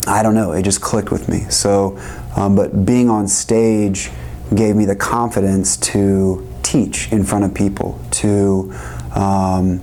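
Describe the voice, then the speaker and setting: Amid noticeable background noise and audible room echo, a man with a fairly low pitch talks at a very slow pace with lively intonation. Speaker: music producer and educator. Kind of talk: interview. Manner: halting, many fillers.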